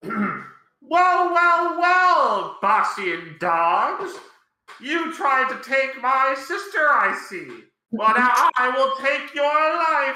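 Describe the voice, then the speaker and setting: A put-on character voice is pitched high. It moves at a very slow pace, with a slight echo. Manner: menacing.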